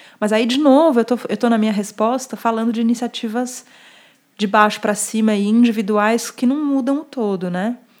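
A speaker with a São Paulo accent talks at a moderate pace with fairly even intonation. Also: woman, fairly high pitch for a woman. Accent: Paulistano Brazilian Portuguese. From Brazil, São Paulo. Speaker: journalist and urbanism speaker. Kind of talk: casual interview conversation.

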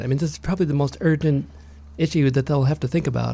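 A man's fairly high voice sounds somewhat breathy and moves with ordinary pitch variation. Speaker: climate activist. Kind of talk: casual interview chat. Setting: studio.

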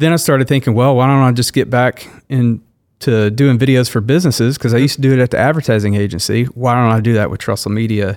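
In a very clean recording with a silent background, a man speaks at a medium pitch with ordinary pitch variation. He talks at a very fast pace with hardly any pauses. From Louisiana (Shreveport). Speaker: video production business owner. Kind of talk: casual interview. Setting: studio.

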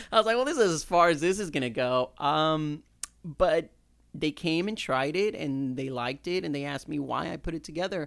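A man with an unremarkable speaking voice talks at a fairly quick pace in a fairly high pitch with ordinary pitch variation. The recording is very clean, the background silent. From Houston, Texas (born in Mexico, moved at seven). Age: 30s. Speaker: English teacher and chef. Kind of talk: casual chat.

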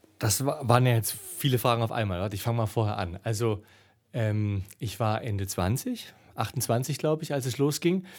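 At a moderate pace, a man with a plain, everyday voice speaks at medium pitch with ordinary variation, on a very clean recording with a silent background. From East Germany. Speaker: adventurer and travel speaker. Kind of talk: casual interview. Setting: festival venue.

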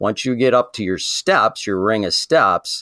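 A man with an American accent uses a normal speaking voice at a moderate pace, his intonation lively on a very clean recording with a silent background. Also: dry, close sound with no echo. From southern Michigan. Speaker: saddle hunting expert. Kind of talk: interview.

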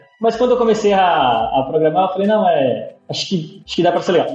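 Noticeable background noise and audible room echo surround the man as he speaks. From São Paulo city, East Zone. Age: 30s. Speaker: front-end developer. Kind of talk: interview. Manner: halting, many repeated words.

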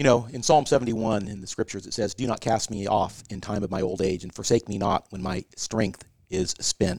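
A man with an unremarkable speaking voice talks at a fairly quick pace and fairly low pitch, with hardly any pauses and ordinary pitch variation. His loudness swings a lot, and the sound is dry and close with no echo. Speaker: senior care executive. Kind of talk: casual interview.

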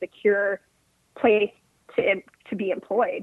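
In an American accent, a woman speaks at a fairly high pitch with fairly even intonation. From US West Coast, northern California (707 area). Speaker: union representative. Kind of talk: casual chat.

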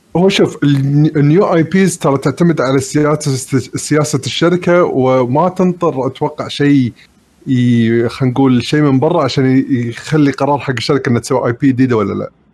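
A man's normal speaking voice, fairly high in pitch, with ordinary pitch variation, a moderate pace and hardly any pauses. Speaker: gamer panelist. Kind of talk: casual chat. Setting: online call, live stream.

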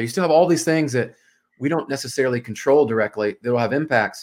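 A man with a plain, everyday voice and an American accent speaks at a medium pitch with ordinary pitch variation, on a very clean recording with a silent background. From US South, Memphis, Tennessee. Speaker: mortgage sales executive and former pro soccer player. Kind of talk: podcast interview. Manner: casual.

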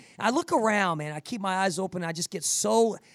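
A man's animated tone at a fairly quick pace, on a very clean recording with a silent background. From New Jersey, US. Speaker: podcast host and fitness coach for first responders. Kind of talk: motivational podcast interview.

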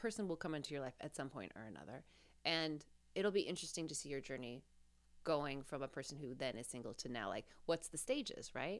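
A woman talks at a very fast pace with an American accent. Her pitch is very deep and low, and her intonation is lively. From Nevada (Reno, Las Vegas). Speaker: podcast co-host, comedy performer and writer. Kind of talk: casual chat.

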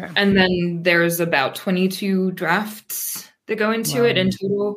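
A woman with an American accent and an unremarkable speaking voice, medium pitch, fairly even intonation and a moderate pace. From US, Pennsylvania. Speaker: poet and translator. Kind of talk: interview.

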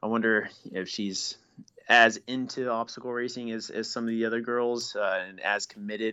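Here a man with a normal speaking voice talks at a moderate pace. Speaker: elite obstacle course race athlete. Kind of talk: casual chat.

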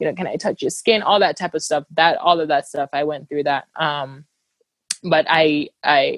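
A woman's very deep, low voice at a moderate pace, with fairly even intonation and a dry, close sound with no echo. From Cameroon, moved to the US at about 13. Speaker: humanitarian worker and travel writer. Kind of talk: casual interview. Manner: frequent fillers and restarts.

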